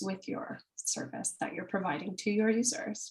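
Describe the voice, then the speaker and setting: With lively intonation, a woman speaks at a fairly high pitch in a somewhat breathy voice. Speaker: product manager. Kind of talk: webinar presentation.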